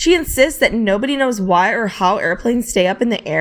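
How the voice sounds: A natural reading voice delivers the text with lively intonation.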